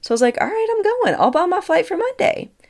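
In a Southern US accent, a woman speaks with an animated tone and very wide pitch swings on a very clean recording with a silent background. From Tennessee. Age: 30s. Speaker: spiritual podcast host. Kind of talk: casual storytelling monologue; guided breathwork.

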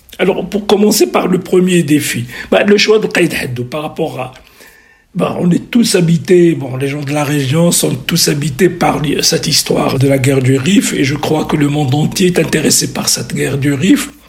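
Against noticeable background noise, a man with a fairly high pitch speaks with ordinary pitch variation. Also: moderate pace. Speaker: surgeon and historical novelist. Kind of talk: radio interview.

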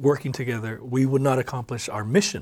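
A man with a Hawaiian accent at a fairly quick pace. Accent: Hawaii local English. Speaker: podcast host. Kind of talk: interview, friendly conversation.

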